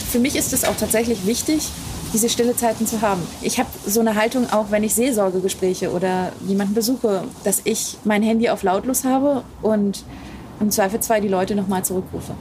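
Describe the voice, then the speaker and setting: A woman's fairly high voice at a fairly quick pace, with very even loudness and fairly even intonation, over noticeable background noise. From Wittenberg, Saxony-Anhalt, Germany. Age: young. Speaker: pastor. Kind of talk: interview. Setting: outdoors, parsonage garden.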